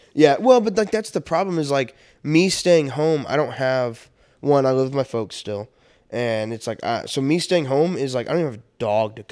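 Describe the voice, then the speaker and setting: Recorded very cleanly with a silent background, a man with a plain, everyday voice speaks at a moderate pace and a fairly high pitch, using lively intonation. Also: big swings in loudness. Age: 20s. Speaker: podcast co-host. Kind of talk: casual chat. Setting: studio.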